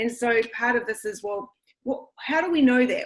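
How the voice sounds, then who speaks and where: A woman speaks at a moderate pace with a New Zealand accent. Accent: New Zealand, retained. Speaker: school administrator and educator. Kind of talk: online presentation.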